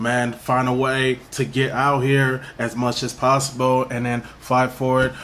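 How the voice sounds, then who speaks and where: A man speaks slowly-ish with an American accent, his medium pitch held in a flat monotone. Noticeable background noise runs underneath. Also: hardly any pauses. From Minnesota, North Minneapolis. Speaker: rapper. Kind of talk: interview. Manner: repetitive filler-heavy casual speech.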